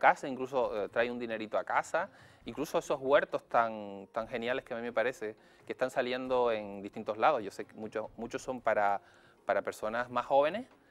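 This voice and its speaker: A man's very fast speech, dry and close with no echo. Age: young. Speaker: psychologist. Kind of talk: TV interview.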